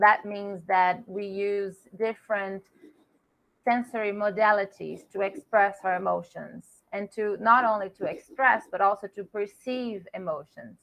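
A woman at a medium pitch and a fairly slow pace, with fairly even intonation and big swings in loudness. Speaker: guest lecturer. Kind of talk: lecture. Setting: video call. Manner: formal. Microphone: video call.

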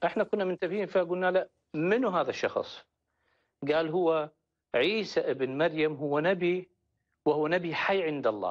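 A man's high-pitched voice with an Iraqi accent, very even loudness and long, frequent pauses over a quiet background. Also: ordinary pitch variation, fairly slow pace. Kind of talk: testimony. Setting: phone call. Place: studio.

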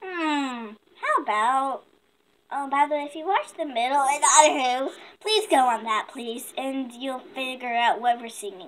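A female-sounding voice does a cartoonish character voice at a high pitch and a moderate pace. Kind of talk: casual puppet show chat. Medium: puppet show. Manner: playful, cheeky. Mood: scatterbrained.

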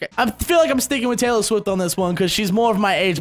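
A man talks at a very fast pace in a high, animated voice with lively intonation. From Australia. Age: 20s. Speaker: gaming youtuber. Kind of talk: casual Q&A vlog. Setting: home, on webcam at computer. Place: home room. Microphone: studio mic.

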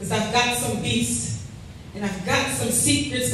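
A woman speaks in a room with strong echo. Light background noise can be heard. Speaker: spoken word poet. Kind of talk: spoken word poetry performance. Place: hall.

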